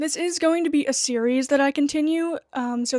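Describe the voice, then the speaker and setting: In a dry, close sound with no echo, a woman speaks with an American accent. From United States. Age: 20s. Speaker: goth music YouTuber. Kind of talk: casual vlog commentary.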